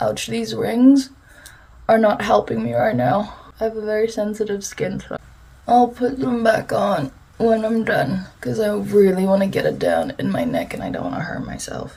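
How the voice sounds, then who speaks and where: A woman talks at a moderate pace with big swings in loudness amid noticeable background noise. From South Africa, Afrikaans-speaking coloured community. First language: Afrikaans. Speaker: beauty vlogger. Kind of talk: casual chat while doing makeup. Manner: animated.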